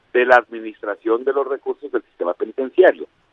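The man speaks at a very fast pace. His pitch variation is ordinary. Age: 50s. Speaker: anti-corruption citizen council member. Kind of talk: radio interview.

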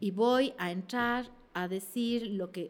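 Woman's fairly high voice at a very slow pace, with ordinary pitch variation. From Ecuador. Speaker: actress and comedian. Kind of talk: casual interview chat. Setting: studio.

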